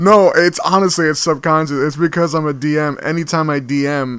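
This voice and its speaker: Fairly quick and fairly high-pitched, a man talks in a normal speaking voice with fairly even intonation. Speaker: channel host, tabletop game master.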